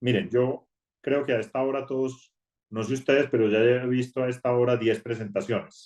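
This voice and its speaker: A man with a strong Colombian accent, medium pitch, dark and mellow tone, and moderate pace. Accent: strong paisa Colombian. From Colombia, Antioquia. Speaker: bank HR executive. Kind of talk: online talk. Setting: video call. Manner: conversational.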